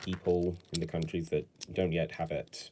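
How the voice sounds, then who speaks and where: In a British accent, a man talks at a moderate pace. His voice has a very deep, low pitch. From Britain. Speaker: LEGO build streamer. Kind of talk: casual live stream while building. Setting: home, no studio. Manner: casual, hesitant with fillers.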